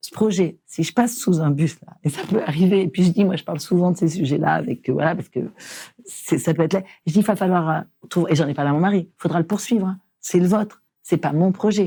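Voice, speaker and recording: A woman talks at a fairly quick pace and a fairly low pitch. Her tone is dark and mellow, and somewhat breathy. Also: ordinary pitch variation. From France, rural small town. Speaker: entrepreneur. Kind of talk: interview conversation. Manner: animated, informal.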